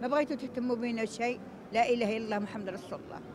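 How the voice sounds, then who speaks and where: Over noticeable background noise, a woman with a fairly high pitch talks at a fairly quick pace with fairly even intonation, the sound dry with no echo. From Morocco. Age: 70s. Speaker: elderly street beggar; interviewee. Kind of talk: street interview testimony. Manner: emotional, halting. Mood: sorrowful, pleading. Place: street. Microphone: handheld.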